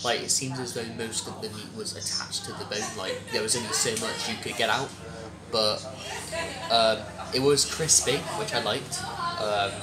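At a moderate pace, a man speaks while clear music sounds in the background. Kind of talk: interview answer. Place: cafe. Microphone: camera far.

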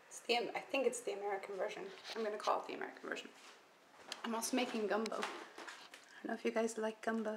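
There's noticeable background noise behind this woman. She talks very fast at a fairly high pitch with ordinary pitch variation. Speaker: home cook vlogger. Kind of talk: casual cooking vlog.

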